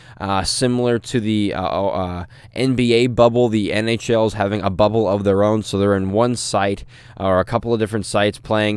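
At a fairly quick pace, a man with an American accent and a plain, everyday voice speaks at a fairly low pitch with fairly even intonation. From US Midwest, St. Louis. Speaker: sports podcast host. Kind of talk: solo podcast monologue. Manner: frequent filler words, casual.

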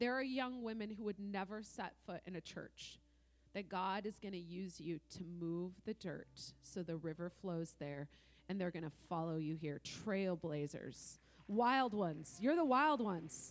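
Using a normal speaking voice, a woman talks at a medium pitch with lively intonation. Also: fairly slow pace. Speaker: visiting prophetic minister.

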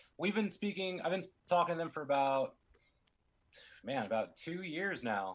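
Male speech at a moderate pace, a normal speaking voice with ordinary pitch variation. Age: 30s. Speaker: DJ. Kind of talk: casual interview.

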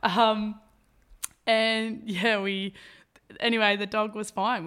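An Australian accent at a fairly slow pace. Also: woman, very clean recording, silent background. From Albury, New South Wales, Australia. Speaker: veterinary nurse and personal trainer. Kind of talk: casual interview. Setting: indoor room by the beach. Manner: animated.

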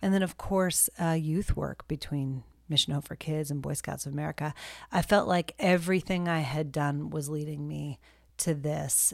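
A woman's voice of very deep, low pitch, with fairly even intonation at a moderate pace, on a very clean recording with a silent background. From military family, moved around; calls Texas home. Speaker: nonprofit director and army spouse. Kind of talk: interview, personal story.

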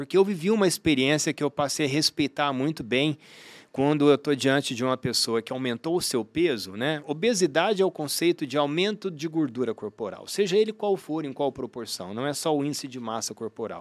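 With an ordinary speaking voice, a man talks at a fairly quick pace and fairly high pitch, his intonation lively, hardly pausing, in a dry, close sound with no echo. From Brazil, Uberlândia (Minas Gerais). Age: 50s. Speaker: sports medicine doctor and triathlete. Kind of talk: interview conversation. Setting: studio.

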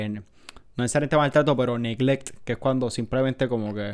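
A man speaks with a Puerto Rican accent at a medium pitch. His intonation is fairly even. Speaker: podcast co-host, veterinary student. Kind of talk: casual chat.

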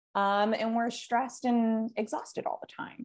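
A woman talks at a fairly slow pace with a fairly high pitch. The background is quiet. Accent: Californian. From California. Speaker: business coach. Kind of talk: casual interview chat.

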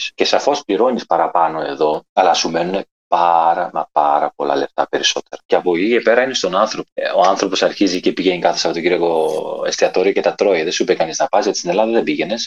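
A man speaks fairly quickly. His sound is dry and close, without any echo. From southern Greece, Messinia (village near Methoni). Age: young. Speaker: guest. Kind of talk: casual interview chat.

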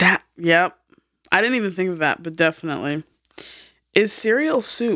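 A woman speaks at a medium pitch and a moderate pace in a bright, sharp tone, with lively intonation. She leaves long, frequent pauses, and the sound is dry and close with no echo. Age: 30s. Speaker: podcast co-host. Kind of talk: casual chat.

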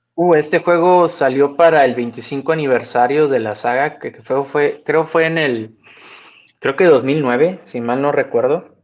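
Speaking at a fairly slow pace, a man has a normal speaking voice with a fairly high pitch. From Reynosa, northern Mexico. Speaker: podcast guest, gaming fan. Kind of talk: casual chat. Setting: video call.

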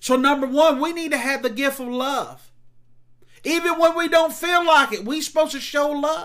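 A man with a Southern US accent speaks at an extremely high pitch, his tone bright and sharp and his intonation fairly even. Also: moderate pace, very clean recording, silent background. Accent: Southern American. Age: 40s. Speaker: pastor. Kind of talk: sermon.

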